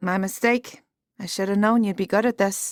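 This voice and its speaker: A put-on character voice with a growling quality. It sits at a middle pitch and moves at a moderate pace. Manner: gruff, wry.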